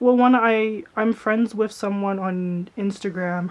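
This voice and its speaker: Soft-spoken, a woman talks at a fairly slow pace with a medium pitch and fairly even intonation. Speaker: YouTuber, vlogger. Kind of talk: casual vlog chat.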